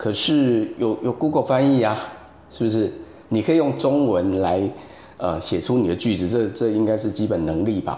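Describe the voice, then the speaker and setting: Speaking in a Taiwanese accent, a man with a medium pitch and a dark, mellow tone uses lively intonation at a moderate pace, his loudness very even throughout. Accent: Taiwanese Mandarin. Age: 40s. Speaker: photographer and AI art teacher. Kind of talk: casual interview chat. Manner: halting with many fillers.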